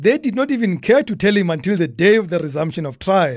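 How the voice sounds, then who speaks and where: Lively intonation in a South African accent over a quiet background. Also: man. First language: a South African language, not English. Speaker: podcast host. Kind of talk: humorous commentary. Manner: animated.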